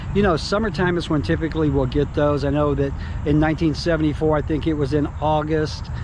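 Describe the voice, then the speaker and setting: Someone with an American accent talks at a fairly quick pace, with audible room echo and noticeable background noise. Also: man. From US South, North Alabama. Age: 60s. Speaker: real estate / relocation video host. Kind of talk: casual vlog talk to camera. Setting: outdoors. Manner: casual, many fillers.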